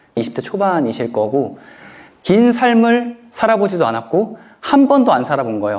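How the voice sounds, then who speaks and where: A man's high-pitched voice with very wide pitch swings, a moderate pace, audible room echo and noticeable background noise. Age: 30s. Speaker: author and self-help lecturer. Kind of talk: lecture Q&A answer.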